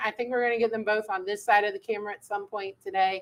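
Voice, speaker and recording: Here a woman talks. Her pitch moves up and down by an ordinary amount. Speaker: education manager. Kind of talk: live stream chat. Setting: live studio stream. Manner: loud.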